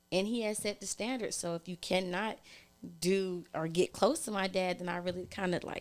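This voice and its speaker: A woman with an American accent has a plain, everyday voice and a medium pitch. She speaks at a moderate pace with fairly even intonation on a very clean recording with a silent background. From California (Oakland). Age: 30s. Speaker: podcast guest, single mom. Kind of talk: casual chat.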